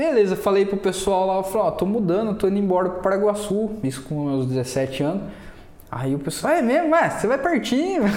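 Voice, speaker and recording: A high-pitched man at a moderate pace, his pitch swinging very widely. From Brazil, Mogi Guaçu (São Paulo interior). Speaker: podcast guest, print shop owner. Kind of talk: casual chat. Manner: animated.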